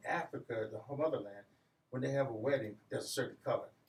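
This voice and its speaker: Its pitch rises and falls normally. There is a somewhat breathy quality to the voice. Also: man. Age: 60s. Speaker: community business leader. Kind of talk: radio interview.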